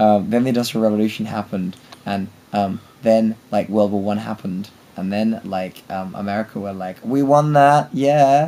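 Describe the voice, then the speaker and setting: A man's fairly low voice in a British accent, with ordinary pitch variation. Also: moderate pace. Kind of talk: casual rambling monologue to friends and camera.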